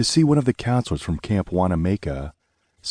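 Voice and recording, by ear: Against a quiet background, a passage is read aloud in a natural voice.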